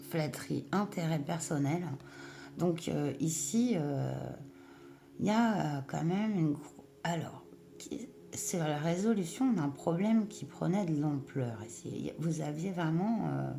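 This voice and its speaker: A woman speaks with a strong Breton accent at a very slow pace. Audible room echo surrounds her voice. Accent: marked Breton. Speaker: tarot reader. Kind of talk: tarot reading. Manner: hesitant, many fillers.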